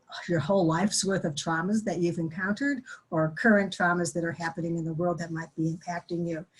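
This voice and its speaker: A woman's fairly low voice, very fast and somewhat breathy, with hardly any pauses and fairly even intonation. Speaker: grief and trauma educator. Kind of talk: webinar presentation. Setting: online webinar.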